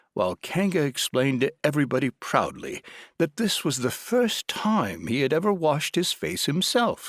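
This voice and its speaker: Speaking at a fairly slow pace, a man uses vocal fry while his pitch swings very widely. The sound is dry and close with no echo, on a very clean recording with a silent background. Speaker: audiobook narrator. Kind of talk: audiobook narration.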